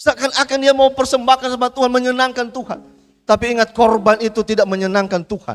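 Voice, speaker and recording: The speech comes at a fairly quick pace with fairly even intonation, the sound dry and close with no echo. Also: man. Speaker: pastor. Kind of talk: sermon.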